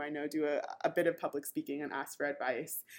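A woman with a Californian accent speaks very fast in a very deep, low voice, her intonation fairly even. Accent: Californian American English. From Southern California. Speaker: product manager and conference speaker. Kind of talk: casual interview.

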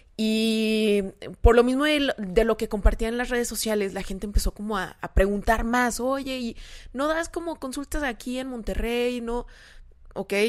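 A woman with a plain, everyday voice speaks fairly slowly at a fairly high pitch, her pitch varying in an ordinary way. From San Luis Potosí, Mexico. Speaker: nutritionist and social media influencer. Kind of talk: casual chat.

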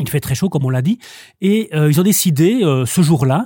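With a dark, mellow tone and lively intonation, a man speaks at a fairly high pitch in a somewhat breathy voice, the sound dry and close with no echo. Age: 40s. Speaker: bookseller. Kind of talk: casual chat. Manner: halting.

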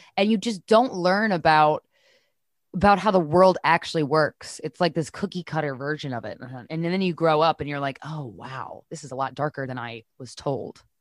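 Very clean with a silent background and a dry, close sound with no echo, the recording carries a woman's very deep, low pitch and lively intonation at a moderate pace. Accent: American. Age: 30s. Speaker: podcaster. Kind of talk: casual interview chat.

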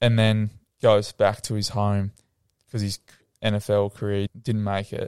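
In an Australian accent, a man talks at a fairly low pitch in a monotone, flat delivery with a dark, mellow tone, on a very clean recording with a silent background and a dry, close sound with no echo. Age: young. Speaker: former footballer turned mental health coach. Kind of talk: casual interview chat.

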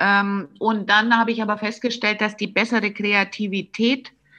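With a bright, sharp tone and fairly high pitch, a woman speaks at a fairly slow pace. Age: 50s. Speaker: commercial film director. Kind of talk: interview. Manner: hesitant, many fillers.

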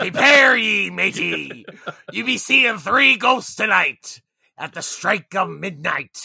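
A man's put-on character voice, high-pitched and raspy, at a fairly slow pace. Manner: mock-theatrical, swashbuckling.

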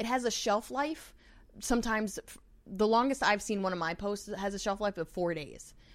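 An ordinary speaking voice with an American accent talks at a moderate pace. Pitch variation is ordinary. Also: woman. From New York. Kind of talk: casual chat.

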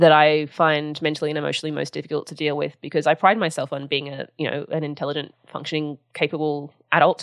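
Against a quiet background, a woman with an Australian accent speaks at a very deep, low pitch in monotone, flat intonation. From Sydney, Australia. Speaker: writer and podcast host. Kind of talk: interview.

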